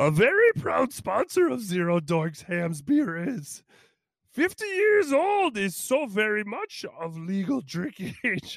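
In a put-on character voice pitched high, a man speaks at a very slow pace. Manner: imitation of a wise alien sage.

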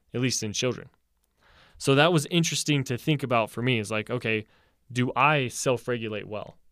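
A man with an ordinary speaking voice and medium pitch talks at a fairly quick pace with ordinary pitch variation, on a very clean recording with a silent background. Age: 20s. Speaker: psychology podcast co-host, neuroscience student. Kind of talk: casual interview discussion.

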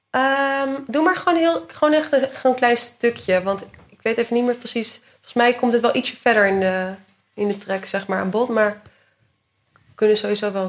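A woman with a normal speaking voice talks at a moderate pace and a fairly high pitch. Her intonation is lively, and her loudness swings widely. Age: 20s. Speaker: PhD researcher. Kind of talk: casual interview.

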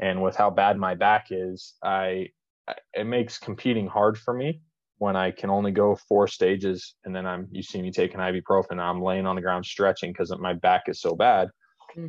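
This man has an ordinary speaking voice, fairly low in pitch, moving at a moderate pace with fairly even intonation. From Las Vegas, Nevada, US. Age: 30s. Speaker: ammunition company president and competitive shooter. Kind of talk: casual chat.

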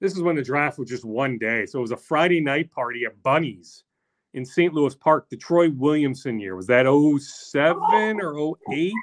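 Lively intonation marks a normal speaking voice delivered at a moderate pace. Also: man, fairly high pitch for a man. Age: 40s. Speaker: sports reporter. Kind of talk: casual chat.

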